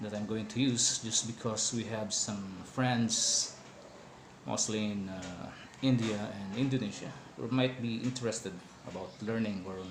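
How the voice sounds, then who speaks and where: A man at medium pitch talks at a fairly slow pace with fairly even intonation, with audible room echo and noticeable background noise. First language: not English. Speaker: hospitality worker explaining wine. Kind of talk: informal educational talk. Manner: hesitant, many fillers.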